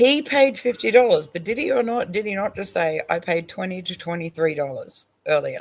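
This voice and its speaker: With an Australian accent, a woman speaks at a medium pitch in an animated tone, with very wide pitch swings. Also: moderate pace, hardly any pauses. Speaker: online stream panel host. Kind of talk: casual chat reacting to a video.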